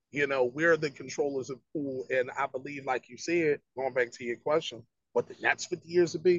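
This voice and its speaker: A fairly high-pitched man's voice in a Philadelphia accent. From West Philadelphia. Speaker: rapper. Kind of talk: casual interview.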